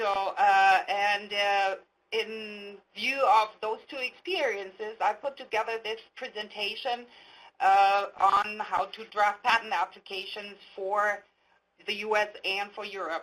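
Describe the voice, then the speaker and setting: A woman with a German accent speaks at a very slow pace, her intonation fairly even. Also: medium pitch for a woman. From Germany. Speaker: patent attorney. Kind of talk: webinar presentation. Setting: online webinar. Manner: hesitant, many fillers.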